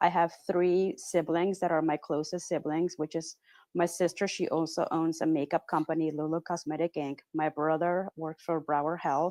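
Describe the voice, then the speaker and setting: A woman with a Spanish accent speaks in a flat monotone at a fairly low pitch and moderate pace, the sound dry and close with no echo and a quiet background. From Peru, Pacific coast. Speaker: real estate agent. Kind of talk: casual chat. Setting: podcast interview.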